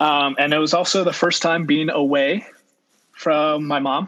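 This man speaks with an American accent. His tone is bright and sharp, and his intonation stays fairly even. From California, Central Valley and Monterey Bay. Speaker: podcast guest, friend of the host. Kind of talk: casual chat.

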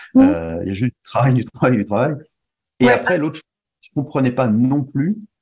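A man with a medium-pitched voice talks at a fairly quick pace, his intonation lively, his loudness swinging widely and vocal fry creeping in. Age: 40s. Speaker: musician, conductor and wakesurf athlete. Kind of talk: interview. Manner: halting, with many repetitions.

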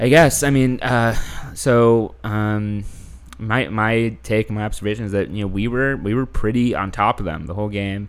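This is an ordinary speaking voice. It carries an American accent. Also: man, fairly low pitch for a man, ordinary pitch variation, moderate pace. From Houston, Texas. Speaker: podcast host. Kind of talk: casual chat.

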